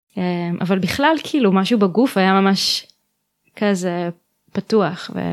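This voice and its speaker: On a very clean recording with a silent background, a woman's voice sits at medium pitch. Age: 20s. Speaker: holistic therapist. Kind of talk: interview. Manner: halting.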